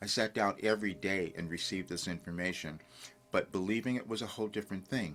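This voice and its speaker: A man talking at a very fast pace, with ordinary pitch variation. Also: fairly low pitch for a man. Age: 70s. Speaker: spiritual coach and channeler. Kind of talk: casual talk to camera.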